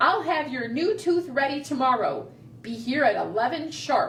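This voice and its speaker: A put-on character voice speaks in a high pitch at a moderate pace. Clear background noise runs underneath. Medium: read story.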